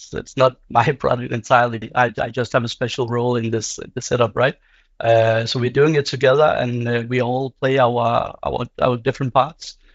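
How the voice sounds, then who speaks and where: This man talks at a moderate pace with a monotone, flat intonation. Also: medium pitch for a man. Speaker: product owner. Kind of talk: panel discussion.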